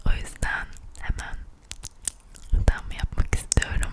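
A woman whispers. Noticeable background noise can be heard. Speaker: ASMR content creator. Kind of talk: ASMR vlog, casual talk to camera. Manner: close whisper, intimate.

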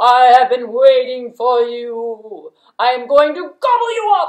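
In a cartoonish character voice, a woman speaks at a high pitch and a fairly slow pace. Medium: puppet.

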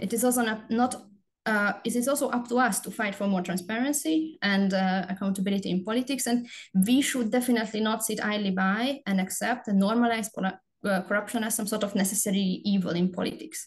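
A woman speaks with a Hungarian accent at a fairly quick pace. Her voice is fairly high and somewhat breathy, with ordinary pitch variation. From Hungary. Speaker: research assistant. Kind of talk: panel presentation. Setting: webinar video call.

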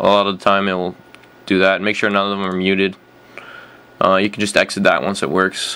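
Speaking at a fairly quick pace, a man uses a normal speaking voice with a fairly low pitch. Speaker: gamer making tutorial. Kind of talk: tutorial.

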